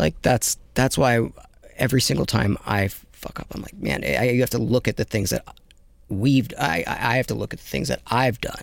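A man with vocal fry speaks at a medium pitch with lively intonation. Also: moderate pace. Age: 30s. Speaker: podcast host. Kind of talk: casual chat.

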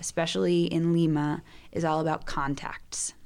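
A woman with a normal speaking voice talks at a moderate pace in an American accent, her pitch fairly low. The recording is very clean, with a silent background. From US South, Georgia. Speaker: missionary, soccer ministry leader. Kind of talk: casual chat. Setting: studio.

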